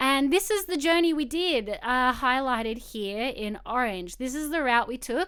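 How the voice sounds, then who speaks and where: In an Australian accent, a woman talks at a moderate pace with a high pitch and ordinary pitch variation. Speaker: photographer. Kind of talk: live-streamed presentation. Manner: casual.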